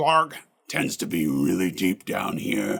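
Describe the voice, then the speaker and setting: Growling through a put-on character voice, a man speaks at a fairly slow pace. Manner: snarling.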